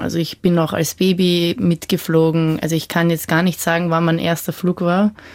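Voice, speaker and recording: In a flat, monotone delivery, a woman speaks with a fairly low pitch. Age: 20s. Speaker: young student-age panelist. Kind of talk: radio panel discussion.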